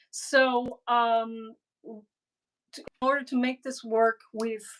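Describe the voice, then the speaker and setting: A woman speaks with a Cuban accent. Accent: Cuban-Spanish tinged. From Miami, Florida (Cuban family). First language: Spanglish (Spanish/English mix). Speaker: cigar box guitar builder and artist. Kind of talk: casual interview chat. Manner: halting, many fillers.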